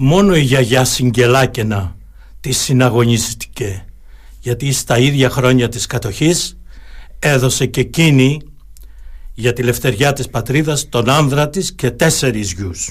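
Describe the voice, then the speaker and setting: This man has a somewhat breathy voice at a medium pitch with ordinary pitch variation. He talks at a fairly slow pace. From Crete, Heraklion area. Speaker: lawyer and local historian. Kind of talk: radio interview. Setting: studio. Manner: formal.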